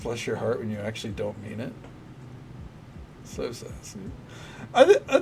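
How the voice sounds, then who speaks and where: A man speaks with long, frequent pauses and big swings in loudness over noticeable background noise. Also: moderate pace. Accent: American. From US South, Tennessee. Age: 30s. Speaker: game streamer. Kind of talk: casual live-stream chat. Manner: casual, halting with fillers.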